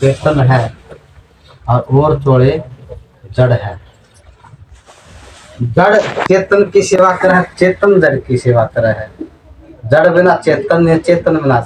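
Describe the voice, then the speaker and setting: The speaker has a Haryana accent, lively intonation and very even loudness. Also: man, fairly high pitch for a man. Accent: Haryanvi. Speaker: spiritual preacher. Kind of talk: religious sermon.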